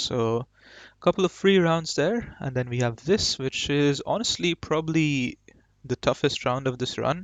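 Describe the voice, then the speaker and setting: This man speaks with a Marathi accent. His pace is moderate. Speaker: gaming YouTuber. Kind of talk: gameplay commentary. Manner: casual, hesitant with fillers.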